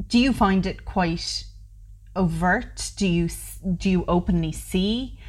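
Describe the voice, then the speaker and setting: Somewhat breathy and fairly low in pitch, a woman speaks with a Waterford Irish accent. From Ireland. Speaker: podcast host. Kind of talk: casual interview.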